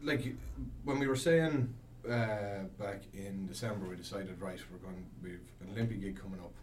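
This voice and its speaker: In an Irish Midlands accent, a man with a fairly low pitch speaks at a moderate pace, with lively intonation and big swings in loudness. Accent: Irish Midlands, noticeable. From Longford, Ireland. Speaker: band member musician. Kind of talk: casual interview chat. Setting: radio studio.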